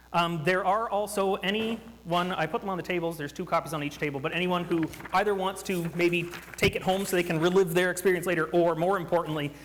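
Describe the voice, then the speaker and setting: Noticeable background noise sits behind a man with a Canadian accent who talks at a very fast pace and a high pitch. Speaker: workshop presenter. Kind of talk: interactive workshop talk.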